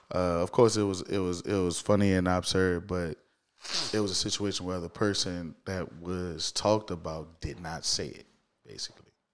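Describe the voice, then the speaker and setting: In a New Orleans accent, a man with a very deep, low voice speaks at a moderate pace, his intonation fairly even but his loudness swinging widely. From New Orleans East, Louisiana. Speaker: street interviewer and social media content creator. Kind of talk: casual interview. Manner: repetitive false starts, stammering repeats.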